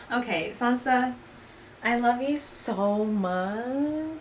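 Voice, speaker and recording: A woman mumbles at a very slow pace in a fairly high voice, her pitch varying in the usual way, with audible echo from the room. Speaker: cannabis lifestyle YouTuber. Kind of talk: casual vlog chat. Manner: mumbling.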